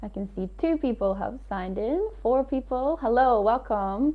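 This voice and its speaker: Speaking at a fairly slow pace, a woman with an Aberdeen accent uses lively intonation. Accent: Scottish (Aberdeen). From northeast Scotland, Aberdeen area. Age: 20s. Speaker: English teacher sharing experiences. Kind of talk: live webinar talk. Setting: livestream.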